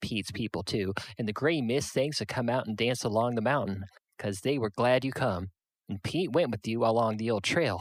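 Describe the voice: Ordinary pitch variation in plain reading aloud, set against a quiet background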